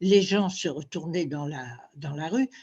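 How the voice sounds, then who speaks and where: Somewhat breathy speech moves at a very slow pace. The background is quiet. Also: woman. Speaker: former fashion model. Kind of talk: interview. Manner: halting.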